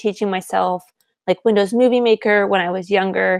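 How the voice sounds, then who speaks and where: A woman talks at a medium pitch with fairly even intonation, in an unremarkable speaking voice. The sound is dry and close, with no echo. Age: 20s. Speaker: podcast co-host. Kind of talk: casual chat.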